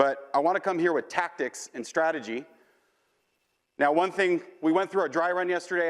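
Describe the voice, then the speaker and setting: On a very clean recording with a silent background, a man talks fairly quickly at a fairly high pitch. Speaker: mortgage executive and conference speaker. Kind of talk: conference talk. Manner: fast; animated.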